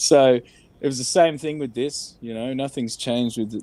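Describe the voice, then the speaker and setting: The voice has a dark, mellow tone and fairly even intonation, with an Australian accent. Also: man. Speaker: entertainment industry worker. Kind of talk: candid interview about mental health. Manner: slow.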